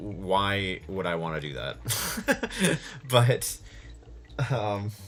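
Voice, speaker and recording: A man speaks at a very slow pace with a fairly low pitch and vocal fry. His intonation is lively. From Minnesota. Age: 20s. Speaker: podcast host. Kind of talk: casual monologue. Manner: casual, rambling with fillers.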